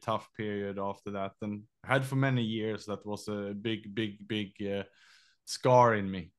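Speaking with a Swedish accent, a man uses a fairly low pitch and a monotone, flat intonation at a moderate pace. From Sweden. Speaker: entrepreneur and endurance athlete. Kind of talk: casual interview chat.

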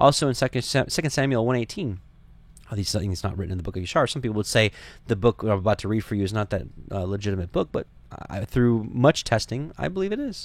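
Talking at a very fast pace with lively intonation, a man at a medium pitch comes through on a very clean recording with a silent background. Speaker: Bible study teacher, podcast host. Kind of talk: Bible study lecture. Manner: fast talker.

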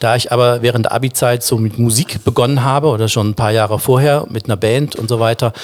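A man talks at a fairly quick pace in a plain, everyday voice. His pitch is medium and his intonation fairly even. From Baden, southwest Germany (Offenburg). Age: 50s. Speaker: singer. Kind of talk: casual chat.

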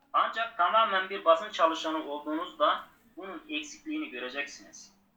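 Raising and projecting his voice, a man speaks at a high pitch and moderate pace, his tone bright and sharp and his pitch swinging very widely. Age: 40s. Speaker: former journalist, book cafe owner. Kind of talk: interview.

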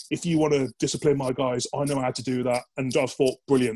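This man has a British accent and speaks at a very fast pace. His medium pitch and fairly even intonation come through a dry, close sound with no echo. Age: 30s. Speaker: military veteran. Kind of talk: casual chat.

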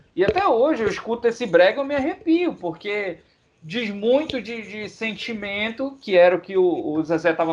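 A man speaks at a moderate pace with a high pitch and lively intonation. His loudness rises and falls in big swings. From Pará, Brazil. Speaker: podcast co-host. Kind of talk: casual chat.

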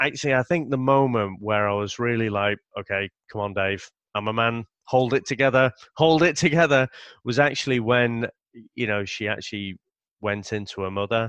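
With a British accent, a man speaks at a moderate pace and medium pitch with ordinary pitch variation, recorded with a dry, close sound, no echo and a quiet background. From Britain. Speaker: comics podcaster. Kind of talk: casual chat.

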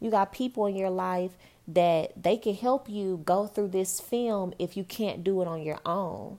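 With a normal speaking voice and fairly even intonation, a woman talks at medium pitch. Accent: American. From Texas (Dallas). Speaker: podcast host, motivational speaker. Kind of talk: casual motivational monologue.

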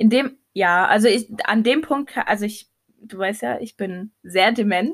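A woman with a normal speaking voice, fairly high pitch, ordinary pitch variation, big swings in loudness and a fairly slow pace. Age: 20s. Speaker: podcast co-host. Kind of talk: casual chat.

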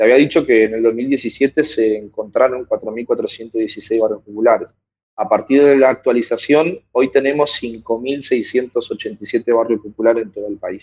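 A man speaks with a Buenos Aires accent. His pace is fairly slow. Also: big swings in loudness. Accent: Rioplatense Spanish (Buenos Aires). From Buenos Aires conurbano, Argentina. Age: 20s. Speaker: activist and teacher. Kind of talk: interview. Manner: hesitant, many fillers and repetitions.

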